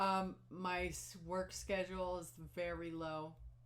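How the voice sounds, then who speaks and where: The room echo is audible. A woman's voice is heard in it. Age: 60s. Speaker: knitting podcaster. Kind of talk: casual chat. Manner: halting.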